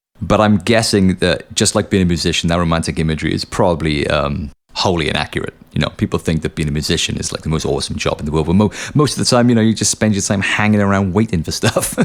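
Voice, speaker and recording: A man with a very deep, low pitch talks very fast with hardly any pauses, over noticeable background noise. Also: ordinary pitch variation. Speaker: podcast host and musician. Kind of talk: podcast outro monologue. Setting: home studio. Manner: casual, animated; low and sleepy, slurry.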